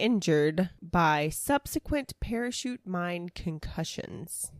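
A woman with a medium pitch is heard in a dry, close sound with no echo. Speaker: podcast host and storyteller. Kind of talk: casual storytelling chat, reading from notes. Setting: remote call with co-hosts.

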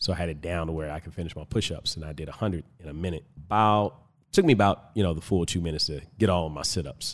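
Very deep and low in pitch, a man talks at a very fast pace with an American accent and ordinary pitch variation. His loudness swings widely, and the recording is very clean over a silent background. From Compton, California. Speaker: fitness coach and podcaster. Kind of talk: casual interview. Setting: studio, in person.

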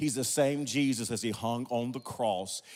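A man in an American accent talks at a moderate pace with an animated tone. Music plays in the background. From Oklahoma (Wewoka). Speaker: pastor. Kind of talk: preacher sermon, rousing guest pulpit message with scripture and numbered points. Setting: stage with audience. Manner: emphatic, repetitive call-and-response preaching cadence.

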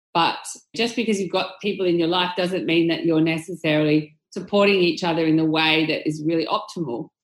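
With an Australian accent, a woman speaks at a fairly quick pace, her loudness very even and her pitch variation ordinary. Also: fairly low pitch for a woman. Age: 40s. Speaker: tech company executive. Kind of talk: interview.

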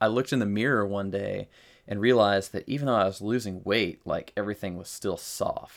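In a plain, everyday voice, a man speaks at a fairly low pitch and a moderate pace with fairly even intonation, on a very clean recording against a silent background. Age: 30s. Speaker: military veteran and lifter. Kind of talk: casual chat.

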